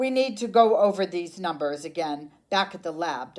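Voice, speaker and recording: Putting on a character voice, a woman speaks at a medium pitch and a moderate pace with lively intonation. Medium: read story.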